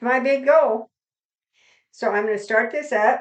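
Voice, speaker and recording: Here a woman speaks with a high pitch. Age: 70s. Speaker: YouTuber doing exercise routine, children's storyteller. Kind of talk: casual vlog while exercising. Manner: casual, chatty.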